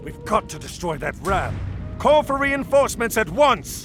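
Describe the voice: Faint music plays behind a man doing a put-on character voice, high-pitched for a man and fairly bright in tone, with big pitch swings at a fairly slow pace.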